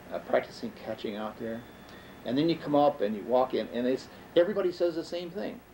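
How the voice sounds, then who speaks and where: Lively intonation from a man with a Western New York accent, a fairly quick pace, and noticeable background noise. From Jamestown, New York. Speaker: storyteller. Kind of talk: interview answer. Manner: reminiscing, hesitant.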